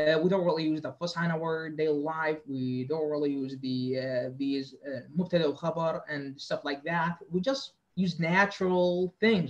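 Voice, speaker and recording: A man with an Arabic accent talks at a moderate pace and fairly high pitch, with ordinary pitch variation and hardly any pauses. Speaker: lecturer. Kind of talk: lecture. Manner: halting, many fillers and repetitions.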